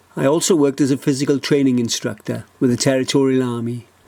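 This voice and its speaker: This man's voice sits at a medium pitch. He moves along at a fairly quick pace. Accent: South Welsh. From South Wales, Neath Port Talbot. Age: 60s. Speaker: election candidate. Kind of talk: campaign video narration. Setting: outdoors.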